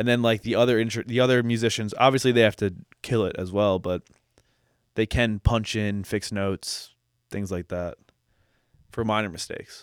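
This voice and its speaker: A man with a fairly low pitch and fairly even intonation, long and frequent pauses, a dry, close sound with no echo, and a very clean recording over a silent background. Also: moderate pace. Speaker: musician and music teacher. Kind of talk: casual chat. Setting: at home in his apartment.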